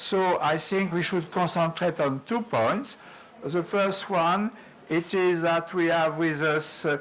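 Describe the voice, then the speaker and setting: A man's fairly high-pitched voice at a fairly slow pace, with ordinary pitch variation and noticeable background noise. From France. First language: French. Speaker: workshop moderator. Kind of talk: conference moderation. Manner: halting.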